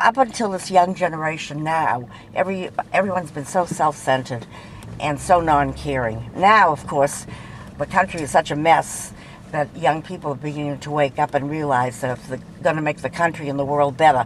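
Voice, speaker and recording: Noticeable background noise surrounds a woman with a very deep, low pitch, who talks at a fairly quick pace with big swings in loudness and ordinary pitch variation. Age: 80s+. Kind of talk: casual chat. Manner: animated.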